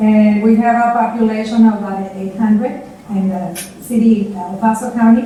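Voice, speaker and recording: A woman with a fairly high pitch talks at a moderate pace with monotone, flat intonation and big swings in loudness. Audible room echo and noticeable background noise fill the recording. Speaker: public health official. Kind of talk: conference panel presentation.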